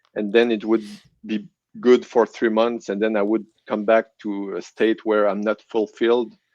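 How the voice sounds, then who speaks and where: A man speaks at a moderate pace in a fairly low, flat monotone with a French Canadian accent, recorded dry and close with no echo against a quiet background. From Quebec City, Canada. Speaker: guest giving faith testimony. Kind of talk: testimony interview. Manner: halting, many restarts.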